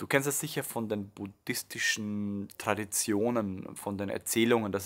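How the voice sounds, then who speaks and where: Over a quiet background, a man speaks slowly-ish in a fairly low voice with a calm, warm tone and ordinary pitch variation. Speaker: meditation teacher and music creator. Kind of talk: promotional introduction to a meditation track, explanatory monologue. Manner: calm, warm, explanatory, with filler words and restarts. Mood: calm, thoughtful. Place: home room.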